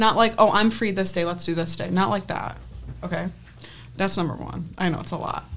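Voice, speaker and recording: A woman with an American accent speaks at a fairly quick pace with vocal fry. Her pitch is fairly low, with ordinary variation. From US, Penfield, New York. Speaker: student sports photographer. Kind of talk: casual chat.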